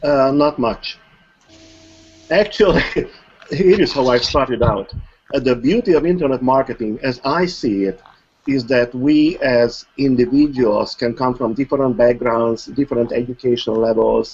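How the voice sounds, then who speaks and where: A man with a non-native accent speaks at a moderate pace. His medium pitch shows ordinary variation. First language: not English. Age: 60s. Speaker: online marketer. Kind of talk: interview. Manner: formal.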